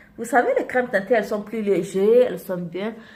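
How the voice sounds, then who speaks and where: There is noticeable background noise in this clip. Over it, a woman speaks in an animated tone. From Côte d'Ivoire. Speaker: beauty vlogger. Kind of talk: makeup tutorial. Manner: animated, repetitive.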